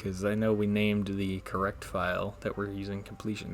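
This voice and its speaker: With noticeable background noise behind him, a man speaks quietly at a fairly low pitch. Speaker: gaming video creator. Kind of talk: let's play commentary. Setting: home recording, roommates nearby. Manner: speaking quietly; casual, hesitant with fillers.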